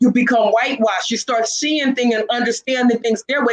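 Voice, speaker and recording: A woman speaks at a fairly quick pace in a high pitch. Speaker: talk show host. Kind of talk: casual discussion. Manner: fast; halting.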